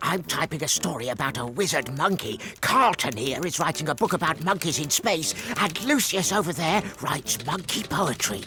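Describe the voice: A man performs a cartoonish character voice at a moderate pace. Clear background noise can be heard.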